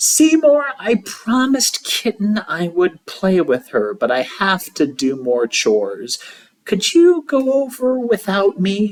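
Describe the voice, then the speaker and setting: The speaker uses a put-on character voice at a fairly high pitch. The delivery is fairly slow. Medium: read story. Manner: eager, lively.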